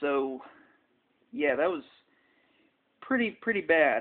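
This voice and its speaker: A man with a high pitch and lively intonation at a moderate pace. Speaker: NASCAR fan vlogger. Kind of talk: casual talk to camera. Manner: hesitant, with stutters and pauses.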